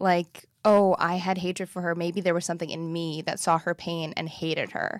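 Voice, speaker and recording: Woman with an American accent, fairly low pitch, monotone flat intonation and moderate pace, on a very clean recording with a silent background. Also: hardly any pauses. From US Midwest. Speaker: comedian and actor. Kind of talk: casual chat.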